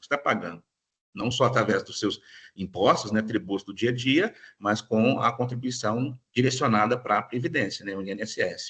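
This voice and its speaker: A man speaks at a moderate pace in a medium pitch, with ordinary pitch variation and big swings in loudness. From Minas Gerais, Brazil. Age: 40s. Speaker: lawyer giving a talk. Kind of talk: lecture. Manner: hesitant, many fillers.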